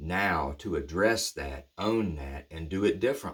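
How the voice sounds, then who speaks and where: This man's very deep, low voice moves at a moderate pace with ordinary pitch variation and a somewhat breathy quality, in a very clean recording with a silent background. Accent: American. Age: 50s. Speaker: recovery speaker. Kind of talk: reflective monologue. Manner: halting; casual.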